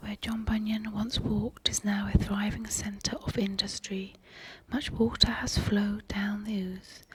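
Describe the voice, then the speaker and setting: A whispering voice with a gentle tone goes at a fairly slow pace over noticeable background noise. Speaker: ASMR creator who cleans and looks after a pub. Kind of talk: soft reading of old newspaper clippings (ASMR). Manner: soft-spoken, gentle, slow.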